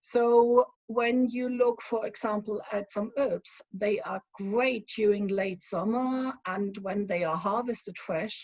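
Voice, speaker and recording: In a strong German accent, a woman speaks at a very slow pace with hardly any pauses. Her voice is fairly high and somewhat breathy, with fairly even intonation. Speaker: spirits consultant. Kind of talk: conference talk. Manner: hesitant, many fillers.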